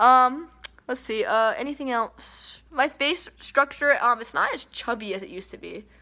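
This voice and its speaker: A woman speaks with a bright, sharp tone. Her voice is high-pitched and squeaky. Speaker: vlogger. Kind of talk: casual vlog chat. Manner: casual, lots of fillers.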